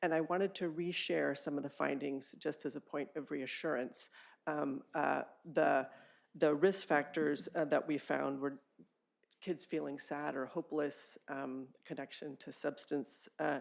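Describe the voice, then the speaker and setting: A woman with an American accent speaks at a fairly slow pace in a very deep, low voice with vocal fry. Her intonation stays fairly even. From US West Coast, California. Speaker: public health officer, public commenter. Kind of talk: public comment at a board meeting.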